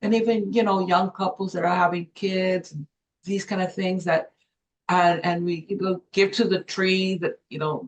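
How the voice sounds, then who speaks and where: Somewhat breathy, at a moderate pace, with fairly even intonation. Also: woman, medium pitch for a woman. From Los Angeles, Mexican-born. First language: Spanish. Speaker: former journalism professor and business consultant. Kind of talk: interview.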